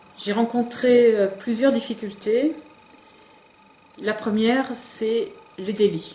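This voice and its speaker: Amid noticeable background noise, a woman with fairly high pitch speaks very slowly and fairly evenly, leaving long, frequent pauses. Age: 50s. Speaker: business owner. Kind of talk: interview testimony. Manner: hesitant, many fillers.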